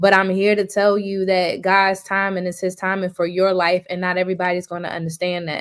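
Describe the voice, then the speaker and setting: A woman's medium-pitched voice at a fairly quick pace, with monotone, flat intonation and hardly any pauses. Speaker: relationship advice segment regular. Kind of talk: casual chat. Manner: sluggish.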